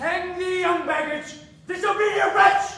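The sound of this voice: In a put-on character voice at an extremely high pitch, a woman speaks at a fairly slow pace with a fairly bright tone and fairly even intonation amid strong room echo.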